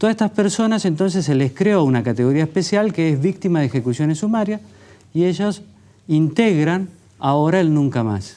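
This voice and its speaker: A man speaks at a moderate pace in a high voice with a dark, mellow tone. His pitch swings very widely against a quiet background. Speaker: author, journalist. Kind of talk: TV interview.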